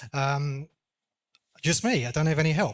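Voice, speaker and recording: A man speaks with an English accent at a fairly high pitch and fairly even intonation. The recording is very clean, with a silent background. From England. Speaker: real estate agent. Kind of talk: panel discussion.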